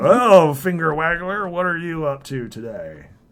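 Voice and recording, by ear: In a put-on character voice, someone speaks gruffly with a raised, projected delivery at a middle pitch and moderate pace.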